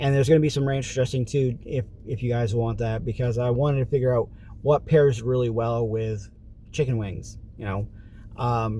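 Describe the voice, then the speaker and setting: Speaking at a fairly quick pace, a man uses a medium pitch with a dark, mellow tone that is somewhat breathy. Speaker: vlogger. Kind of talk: casual vlog monologue.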